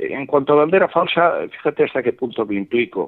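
The man's voice moves in very wide pitch swings. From Spain, Valencia. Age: 70s. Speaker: writer. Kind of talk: interview. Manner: halting.

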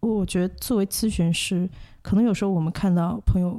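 Somewhat breathy with a dark, mellow tone, a woman talks at a fairly low pitch and fairly quick pace with fairly even intonation, in a very clean recording with a silent background. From Hong Kong and mainland China. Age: 20s. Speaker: social worker and counsellor. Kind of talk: interview. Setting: studio. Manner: halting, many fillers.

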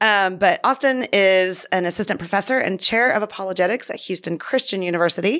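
On a very clean recording with a silent background, the speaker moves at a fairly quick pace with hardly any pauses and ordinary pitch variation, in a plain, everyday voice. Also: woman, medium pitch for a woman. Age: 40s. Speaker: podcast host, ministry director. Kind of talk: casual chat; read-out appeal. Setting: studio.

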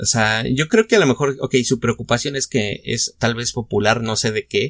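Recorded very cleanly against a silent background, a man talks at medium pitch and a moderate pace with a dry, close sound and no echo. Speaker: podcast host. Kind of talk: casual chat.

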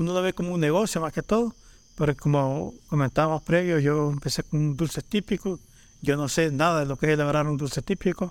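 Speaking fairly quickly with a Salvadoran accent, a man has a fairly high pitch and ordinary pitch variation. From El Salvador, Panchimalco. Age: 40s. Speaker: leather artisan. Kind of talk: casual chat.

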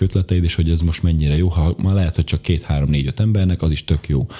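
Very fast and very deep in pitch, a man's voice moves with ordinary pitch variation. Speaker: bodybuilder and medical assistant. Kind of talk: casual interview chat. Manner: halting, self-interrupting, rambling.

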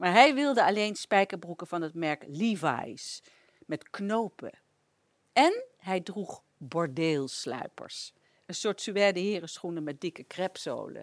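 Speaking at a very slow pace and medium pitch, a woman lets her pitch swing very widely and her loudness rise and fall sharply. The sound is dry and close with no echo, in a very clean recording over a silent background. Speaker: radio presenter. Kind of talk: scripted narration.

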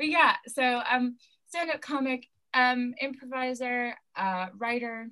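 A woman with a high pitch and a bright, sharp tone speaks at a very slow pace, her pitch varying in an ordinary way. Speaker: stand-up comedian and actor. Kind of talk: casual interview chat.

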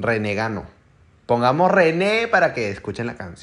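The voice has an animated tone, moving at a fairly slow pace with very wide pitch swings. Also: man. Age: young. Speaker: podcast host. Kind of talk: casual chat.

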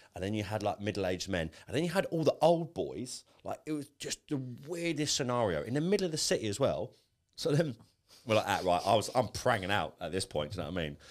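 At a very fast pace, a man with a medium pitch and vocal fry speaks with very wide pitch swings. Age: 20s. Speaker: podcast host. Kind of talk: casual chat.

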